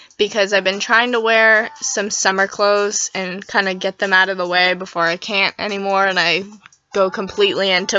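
Music plays in the background as a woman speaks at a moderate pace. Her medium pitch shows ordinary variation. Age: young. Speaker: fashion vlogger. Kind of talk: casual vlog talk. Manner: casual, chatty.

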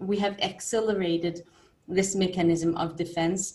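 A woman's flat, monotone voice at a moderate pace. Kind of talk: lecture. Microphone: webcam.

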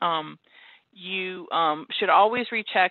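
A woman is heard with a dry sound, no echo, and a quiet background. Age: 40s. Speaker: pediatrician; presenter. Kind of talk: lecture. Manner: halting. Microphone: webcam.

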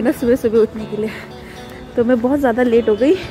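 The speech moves at a moderate pace with fairly even intonation. Clear music plays in the background. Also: woman. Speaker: student vlogger. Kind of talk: casual vlog chat. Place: street. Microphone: phone near.

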